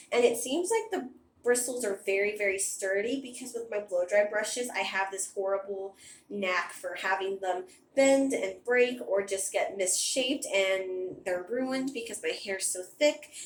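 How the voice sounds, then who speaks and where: Woman at a medium pitch and moderate pace, ordinary pitch variation, audible room echo and light background noise. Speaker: beauty vlogger. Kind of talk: casual product review. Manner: chatty. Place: bathroom. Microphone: phone near.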